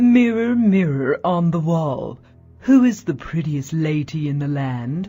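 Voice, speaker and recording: A put-on character voice at a middle pitch, fairly slow, with faint music in the background. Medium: read story.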